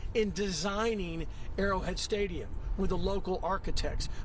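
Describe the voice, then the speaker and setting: With audible room echo and noticeable background noise, a man speaks at a moderate pace. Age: 60s. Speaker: TV sports anchor. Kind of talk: live sports analysis on TV. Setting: outdoors at a stadium.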